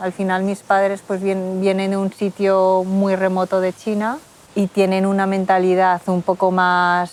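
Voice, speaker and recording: A woman's medium-pitched delivery comes at a fairly slow pace, its intonation monotone and flat. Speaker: interviewee, daughter of Chinese immigrants. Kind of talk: interview testimony. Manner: casual, hesitant.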